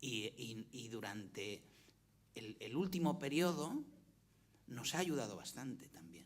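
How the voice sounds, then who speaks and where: A man with a Valencian accent speaks at a very slow pace in a medium pitch, with very wide pitch swings and long, frequent pauses. Audible room echo surrounds the voice. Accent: Valencian accent in Catalan, keeps it. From Valencia, Spain. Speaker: former university rector, panelist. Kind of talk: panel discussion. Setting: conference with audience, streamed. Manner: halting, many repetitions and fillers.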